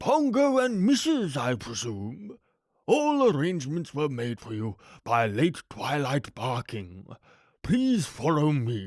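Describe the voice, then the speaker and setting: In a put-on character voice, a man speaks at a fairly slow pace with a fairly high pitch on a very clean recording with a silent background. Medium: read story. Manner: polite, formal, gracious.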